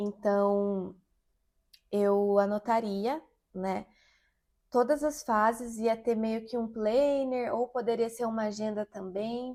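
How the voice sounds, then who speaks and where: On a very clean recording with a silent background, a woman speaks very slowly with a fairly high pitch, a dark, mellow tone, fairly even intonation, and long, frequent pauses. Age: 30s. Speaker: singer and menstrual health content creator. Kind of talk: casual vlog talk to camera.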